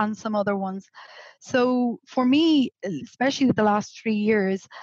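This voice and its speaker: A woman talks fairly slowly with a slight Irish accent and ordinary pitch variation. The sound is dry and close, with no echo. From Ireland, Galway (west coast). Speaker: remote work educator. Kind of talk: podcast interview. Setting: video call from home, on a sofa.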